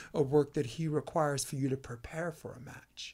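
This man speaks with an American accent at a fairly quick pace. His pitch is fairly high. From New York City (Brooklyn). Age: 50s. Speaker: podcast host and volleyball coach. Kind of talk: casual interview chat. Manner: animated.

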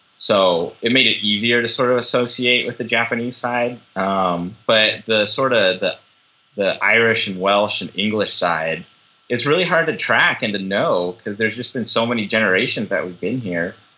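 This is a man with an American accent and an unremarkable speaking voice. He is medium in pitch, with ordinary pitch variation and a moderate pace. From Southern California (Orange County). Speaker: journalist. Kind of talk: interview. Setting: video call.

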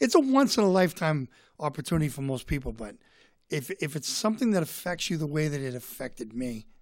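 In a very clean recording with a silent background, a man with a Boston accent talks at a fairly quick pace in a fairly high pitch. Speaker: comedian and author. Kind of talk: casual chat. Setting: studio.

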